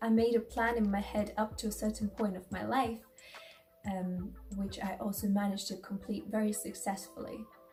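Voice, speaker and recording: The speaker has a strong Latvian accent, and noticeable background noise is present. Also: woman. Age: 20s. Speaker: lifestyle vlogger. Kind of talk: personal vlog talk. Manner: halting, with fillers.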